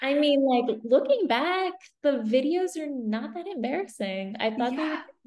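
A woman's high-pitched voice, lively in intonation, at a fairly slow pace. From UAE. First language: French. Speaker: photographer and online magazine founder. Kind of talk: casual interview chat. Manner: many fillers, hesitant phrasing.

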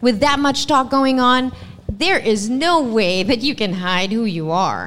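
Speaking at a fairly slow pace, a woman with a fairly high voice swings her pitch very widely over noticeable background noise. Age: 40s. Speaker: radio DJ. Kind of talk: panel discussion. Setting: stage with audience.

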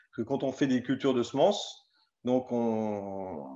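A man with a medium pitch and a dark, mellow tone speaks with ordinary pitch variation. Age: 30s. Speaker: farmer. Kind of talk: casual chat. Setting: live stream.

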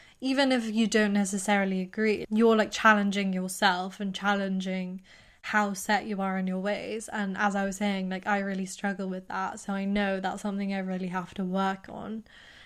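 A woman in a British accent, medium pitch, monotone, flat intonation and a moderate pace. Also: hardly any pauses. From England. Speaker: podcast co-host. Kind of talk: casual chat.

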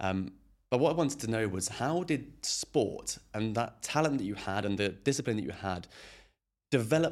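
Here a man with an ordinary speaking voice talks at a moderate pace, his pitch fairly low. His intonation is lively, and the recording is very clean with a silent background. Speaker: podcast host. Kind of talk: casual interview.

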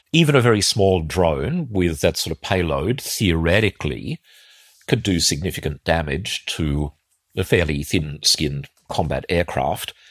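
Fairly slow, lively intonation in an Australian accent, with a dry, close sound and no echo. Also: man, very deep, low pitch for a man. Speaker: defence analyst podcast host. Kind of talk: solo commentary podcast.

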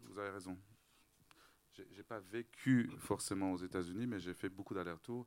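A fairly low-pitched man at a moderate pace, with fairly even intonation and long, frequent pauses. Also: big swings in loudness. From Lebanon, Beirut (Armenian family). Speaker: interior designer. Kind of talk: public panel talk.

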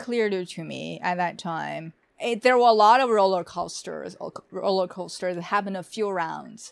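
In a Chinese accent, a woman talks at a fairly quick pace. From Beijing, China. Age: 30s. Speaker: journalist. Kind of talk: casual interview.

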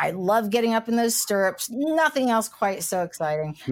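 A woman with an American accent, a normal speaking voice, lively intonation and a fairly quick pace. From US, West Virginia/Kentucky/Ohio tri-state area. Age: 60s. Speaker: cannabis entrepreneur. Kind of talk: casual interview.

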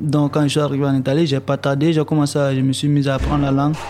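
The voice has a dark, mellow tone and monotone, flat intonation, delivered at a fairly quick pace. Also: man. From Côte d'Ivoire. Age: young. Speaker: young migrant, electrician. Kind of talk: testimony.

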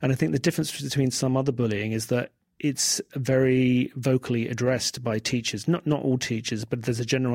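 A man with a London accent, medium pitch and fairly even intonation. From England, South London. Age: 40s. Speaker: writer. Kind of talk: interview.

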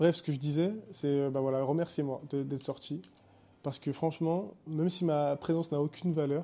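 The recording is very clean, with a silent background. A man speaks at a moderate pace in a fairly high pitch, with a dark, mellow tone and a monotone, flat intonation. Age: 20s. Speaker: podcast host. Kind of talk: solo casual monologue. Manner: casual, hesitant with many fillers.

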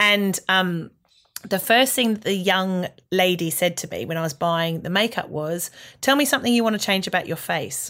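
Speaking with an Australian accent, a woman of medium pitch talks at a moderate pace in a bright, sharp tone with ordinary pitch variation, on a very clean recording with a silent background. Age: 40s. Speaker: comedian. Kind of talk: casual chat.

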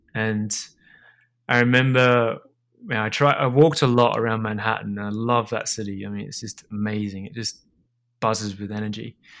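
A man with an Australian accent at a moderate pace, in a very clean recording with a silent background. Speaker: food business founder. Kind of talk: interview. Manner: halting, many repetitions and fillers.

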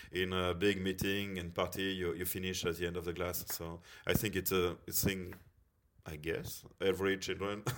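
A man with a French accent talks at a moderate pace. His very deep, low pitch stays monotone and flat. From France, Bordeaux. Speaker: teacher of social work students. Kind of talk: interview. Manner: halting.

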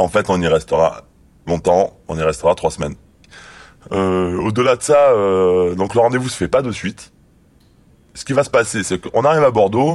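Fairly low-pitched, a man talks at a moderate pace with lively intonation and long, frequent pauses. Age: 30s. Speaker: former drug squad police officer. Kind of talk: testimony. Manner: halting.

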